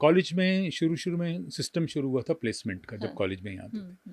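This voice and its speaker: Very wide pitch swings mark this man's speech. He keeps a moderate pace with hardly any pauses. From Delhi, India. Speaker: voice-over artist and former news anchor. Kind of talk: interview answer.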